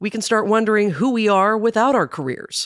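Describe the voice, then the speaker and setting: A woman talks at a medium pitch. The recording is very clean, with a silent background. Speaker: podcast host. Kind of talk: interview and scripted narration.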